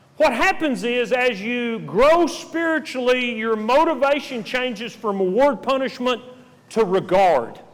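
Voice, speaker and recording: A man talks at a very slow pace, his pitch swinging very widely. Room echo can be heard. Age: 60s. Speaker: preacher. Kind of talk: sermon.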